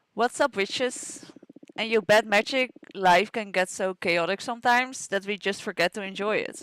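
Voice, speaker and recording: A woman with a Dutch accent speaks at a moderate pace in a medium pitch with ordinary pitch variation, recorded dry and close with no echo. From Netherlands. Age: 20s. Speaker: gaming streamer. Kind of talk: reading game dialogue aloud.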